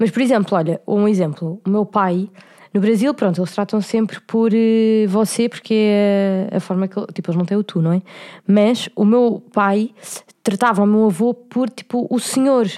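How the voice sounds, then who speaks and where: A dark, mellow tone from a woman at a medium pitch, moderate pace, and fairly even intonation. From Portugal, Cascais. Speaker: podcast co-host. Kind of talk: casual chat.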